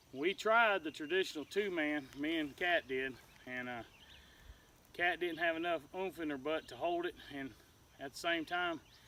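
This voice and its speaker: Long, frequent pauses break up a man's fairly high, bright, sharp voice with a Southern US accent, at a moderate pace and ordinary pitch variation. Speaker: homesteader. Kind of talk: casual vlog.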